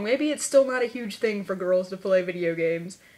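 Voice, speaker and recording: Moderate-paced speech with noticeable background noise. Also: woman. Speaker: video blogger. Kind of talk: casual vlog. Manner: animated.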